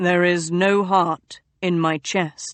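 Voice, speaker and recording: A woman's put-on character voice, fairly low in pitch. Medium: read story.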